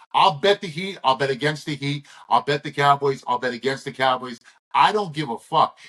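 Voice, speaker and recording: A man with a fairly high pitch, bright, sharp tone and lively intonation at a fairly quick pace. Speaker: sports betting handicapper. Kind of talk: sports betting picks show, casual chat. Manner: animated.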